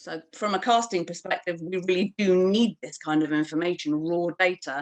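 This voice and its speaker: With a British accent, a woman speaks at a moderate pace and fairly low pitch, the sound dry and close with no echo. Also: ordinary pitch variation. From UK. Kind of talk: panel discussion at online launch event. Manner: hesitant, many fillers.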